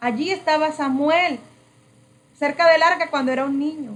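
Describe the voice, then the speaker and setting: Speaking fairly slowly, a woman uses a high voice. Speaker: preacher / prayer trainer. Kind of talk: sermon-style training.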